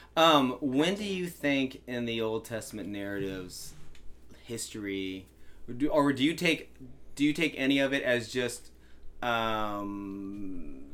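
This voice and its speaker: In an American accent, a man talks at a medium pitch with ordinary pitch variation. He has a normal speaking voice. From Virginia. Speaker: podcast host and pastor. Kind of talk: casual chat.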